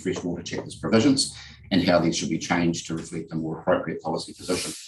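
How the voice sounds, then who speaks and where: A very fast pace and fairly even intonation, in a New Zealand accent. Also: man. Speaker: lawyer. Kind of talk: legal submissions at a hearing. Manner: formal.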